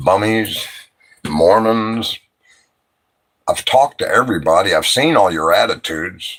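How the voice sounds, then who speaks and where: A man speaks at a fairly slow pace with lively intonation. He leaves long, frequent pauses. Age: 60s. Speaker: livestreamer. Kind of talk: late-night livestream chat. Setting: live stream at night. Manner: animated, rambling and profane.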